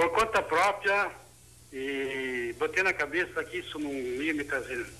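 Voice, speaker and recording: A man's voice with a bright, sharp tone. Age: 60s. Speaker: caller. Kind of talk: testimony.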